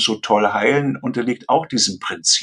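A man speaks at a medium pitch. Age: 60s. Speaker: retired obstetrician and birth coach. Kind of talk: interview. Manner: casual.

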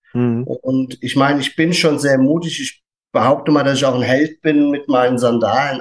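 At a moderate pace with fairly even intonation, this is an unremarkable speaking voice. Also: man. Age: 50s. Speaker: barefoot shoe retailer. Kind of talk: casual chat.

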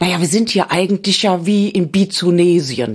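In a plain, everyday voice, a woman speaks at a moderate pace with ordinary pitch variation. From Cologne, Germany. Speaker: radio history author. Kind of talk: casual chat.

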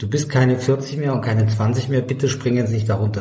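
Somewhat breathy with a dark, mellow tone, a man of medium pitch speaks at a moderate pace with fairly even intonation, audible room echo around him. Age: 60s. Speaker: ultrarunner and author. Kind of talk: casual chat.

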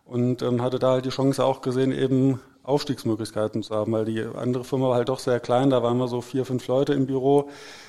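A man's voice at medium pitch, dark and mellow in tone, moving at a fairly quick pace. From Hesse, Germany (Herborn). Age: 40s. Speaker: vocational training advisor. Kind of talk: casual interview.

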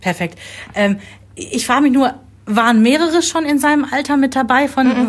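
A woman's high voice at a moderate pace, ordinary pitch variation and very even loudness, broken by long, frequent pauses. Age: 40s. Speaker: podcast host, mother. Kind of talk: casual chat.

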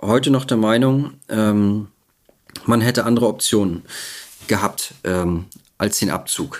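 A man with a medium pitch and ordinary pitch variation talks at a fairly slow pace. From Mecklenburg-Vorpommern, northeastern Germany. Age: 40s. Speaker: retired soldier and veterans' advocate. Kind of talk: interview testimony. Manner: halting, many fillers.

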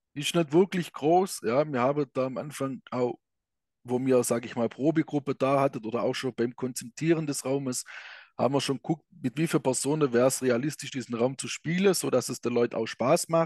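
With a southwest German accent, a man speaks at a medium pitch and a moderate pace, with ordinary pitch variation, in a dry, close sound with no echo. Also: quiet background. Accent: regional southwest German dialect. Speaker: escape room operator. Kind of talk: interview.

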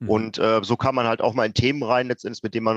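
Talking very fast at medium pitch, a man sounds dry and close with no echo, against a quiet background. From Ruhr area, Germany. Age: 40s. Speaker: startup founder and IT professional. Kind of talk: interview.

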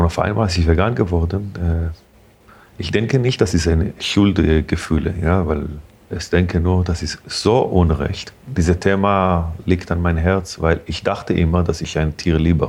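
Very deep, low-pitched man's voice with an Israeli accent at a moderate pace. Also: ordinary pitch variation. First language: Hebrew (speaking German). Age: 40s. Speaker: restaurant owner. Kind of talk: interview. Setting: in a restaurant. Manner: halting.

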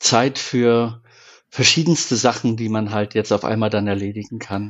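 Here a man talks at a medium pitch. His pace is fairly slow. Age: 50s. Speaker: camper van builder. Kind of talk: casual chat.

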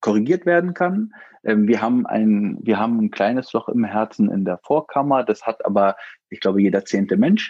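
A man's dark, mellow voice at a moderate pace, dry and close with no echo. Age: 40s. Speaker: father of a child with Down syndrome, IT manager. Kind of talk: interview. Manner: halting, many filler words.

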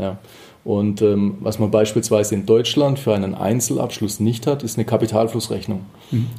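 At a moderate pace, a man talks with a fairly low pitch and fairly even intonation. His tone is dark and mellow, somewhat breathy. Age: 30s. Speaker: auditor and tax advisor. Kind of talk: interview. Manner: hesitant, repeats words.

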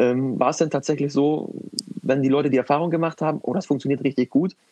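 Very fast speech with fairly even intonation, in a dry, close sound with no echo. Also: man. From northern Germany, Lüneburg. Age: 20s. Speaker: managing director of family business. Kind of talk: interview.

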